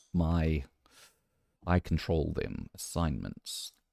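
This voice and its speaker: A man with a New Zealand accent speaks at a very slow pace in a dark, mellow tone. The sound is dry and close, with no echo. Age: 50s. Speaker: gaming streamer. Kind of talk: live game stream commentary.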